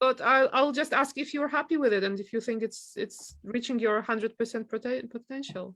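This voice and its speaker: Talking at a fairly quick pace with hardly any pauses, a woman with a non-native accent uses a fairly high pitch and ordinary pitch variation. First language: not English. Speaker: photographer and university teacher. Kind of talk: casual chat.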